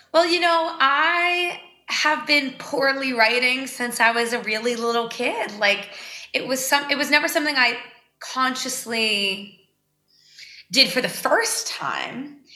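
A woman with an American accent uses a raised, projected voice at a high pitch, with ordinary pitch variation and a fairly slow pace. Audible room echo fills the recording. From Boston, Massachusetts. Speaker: singer-songwriter. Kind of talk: casual interview chat.

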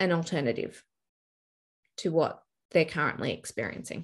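A woman with an Australian accent speaks at a moderate pace, her fairly low pitch showing ordinary pitch variation. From Brisbane, Australia. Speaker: family law mediator. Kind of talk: interview chat.

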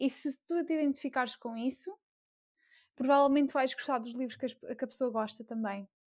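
Speaking at a fairly quick pace with long, frequent pauses, a woman uses a high pitch that varies in an ordinary way. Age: 20s. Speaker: university engineering student and book blogger. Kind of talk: casual chat.

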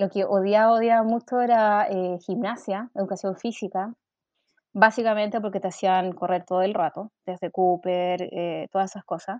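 A woman with an ordinary speaking voice, medium pitch, fairly even intonation and a fairly slow pace. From Chile, Valparaíso region (Quilpué). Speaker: journalist turned UX content designer. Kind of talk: interview conversation.

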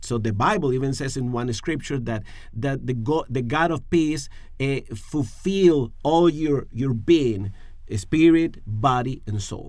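The speaker has a Spanish accent and a fairly slow pace. Pitch variation is ordinary. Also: man, medium pitch for a man. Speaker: pastor. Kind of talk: podcast discussion on faith and emotional health. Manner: halting, searching for words.

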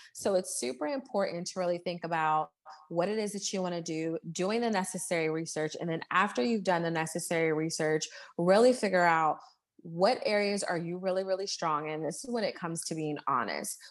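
A woman's unremarkable speaking voice, fairly low in pitch, with ordinary pitch variation, a fairly quick pace and a quiet background. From Baltimore, Maryland. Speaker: entrepreneur and life coach. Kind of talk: casual interview chat.

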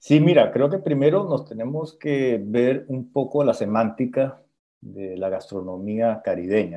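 A man with an ordinary speaking voice talks at a medium pitch. He keeps a fairly slow pace with lively intonation. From Colombia, Santa Marta. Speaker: chef. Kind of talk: interview on radio show.

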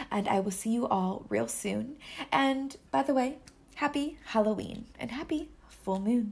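Her voice is fairly high for a woman, an unremarkable speaking voice, and she talks at a fairly slow pace. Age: 30s. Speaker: podcast host and coach. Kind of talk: casual interview chat.

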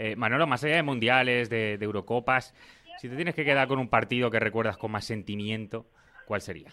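Bright and sharp in tone, a man's medium-pitched voice moves at a fairly quick pace with ordinary pitch variation. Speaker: sports podcast host. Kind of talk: interview.

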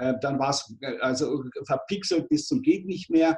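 A fairly high-pitched man at a moderate pace, with lively intonation. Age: 60s. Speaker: marketing coach for retirees. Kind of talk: interview. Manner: halting.

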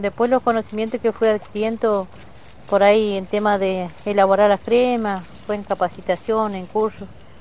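This woman's pitch sits in the medium range. Her intonation is monotone and flat, at a moderate pace. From Argentina, Neuquén, Mapuche community of Ruca Choroi. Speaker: vegetable grower and Mapuche language teacher. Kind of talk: interview testimony. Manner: halting.

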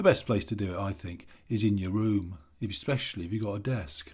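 Somewhat breathy and dark, mellow in tone, the voice moves at a moderate pace on a very clean recording with a silent background. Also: man. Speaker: stress coach and author. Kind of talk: scripted advice monologue.

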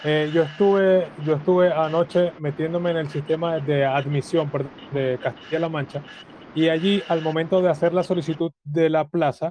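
An ordinary speaking voice from a man, pitched fairly high for a man. His intonation stays fairly even. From Colombia. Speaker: caller. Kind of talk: casual chat.

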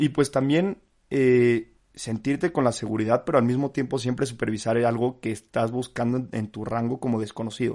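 A man talks at a moderate pace with hardly any pauses, an ordinary speaking voice, medium pitch and fairly even intonation. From Mexico, San Luis Potosí and Mexico City. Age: 20s. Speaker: podcast host, business student. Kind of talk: solo podcast monologue. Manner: casual, many fillers.

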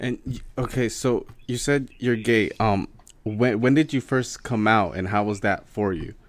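A man has an ordinary speaking voice at a medium pitch. His pitch variation is ordinary. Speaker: podcast co-host. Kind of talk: casual chat.

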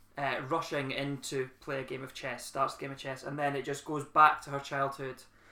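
This man has a fairly high pitch and a bright, sharp tone, speaking at a moderate pace. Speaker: podcast host. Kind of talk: casual chat.

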